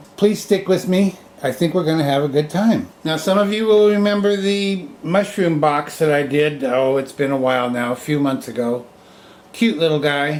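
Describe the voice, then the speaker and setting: Lively in intonation, a man with an American accent speaks at a moderate pace and fairly high pitch amid noticeable background noise. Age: 70s. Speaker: woodturner and hobby channel host. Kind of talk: off-the-cuff product demonstration. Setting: indoors, family room at home. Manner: halting, stammering.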